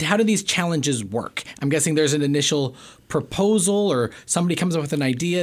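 At a fairly quick pace, a man with a fairly high pitch speaks in a normal speaking voice. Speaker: podcast host. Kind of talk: interview conversation.

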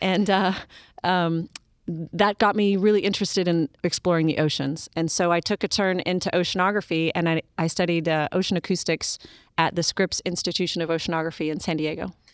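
A woman with an American accent, fairly low in pitch, monotone and flat at a fairly quick pace, in a dry, close sound with no echo. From US, military family moving often. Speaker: astronaut. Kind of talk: interview.

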